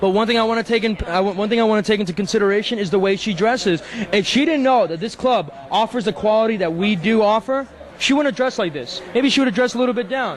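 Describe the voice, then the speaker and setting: The speaker has a New York accent and talks at a very fast pace with an animated tone and ordinary pitch variation. Noticeable background noise runs under the voice. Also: man, high pitch for a man. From Long Island, New York. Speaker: nightclub VIP manager. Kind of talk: interview. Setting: nightclub.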